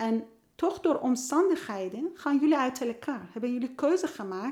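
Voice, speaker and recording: A woman's lively intonation at a fairly slow pace. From Iran. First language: Persian (speaking Dutch). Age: 50s. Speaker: youth care worker and author. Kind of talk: casual interview. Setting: at a kitchen table. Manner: halting.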